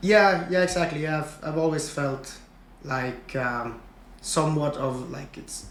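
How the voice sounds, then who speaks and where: A man's fairly high voice moves at a fairly slow pace with ordinary pitch variation and big swings in loudness, heard with audible room echo. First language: Swedish. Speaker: engineer, podcast guest. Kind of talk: casual interview. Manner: halting, many fillers.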